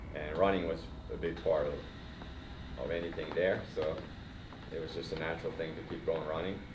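Long, frequent pauses break up fairly quick speech, with noticeable background noise behind it. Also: man. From Finland. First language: Swedish. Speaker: cycling coach. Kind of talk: interview. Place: gym. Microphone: handheld.

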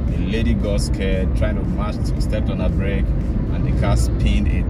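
A man speaks at a very fast pace in a dry sound with no echo, with music in the background. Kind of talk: casual vlog commentary. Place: car. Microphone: phone near.

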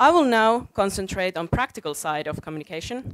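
A woman's plain, everyday voice at a moderate pace, dry with no echo, over a quiet background. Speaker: conference speaker. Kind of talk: prepared talk. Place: stage. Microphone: headset.

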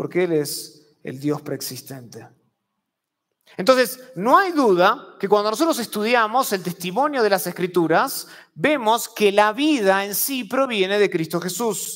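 Against a quiet background, a man with a high pitch and very wide pitch swings speaks at a fairly slow pace. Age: 30s. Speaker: preacher. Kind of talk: sermon. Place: church. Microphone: lapel.

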